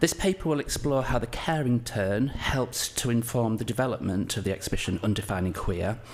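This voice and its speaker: A man's medium-pitched voice with a strong northern English accent. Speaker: curator and lecturer. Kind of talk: conference presentation. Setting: conference talk with audience. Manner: hesitant, many fillers.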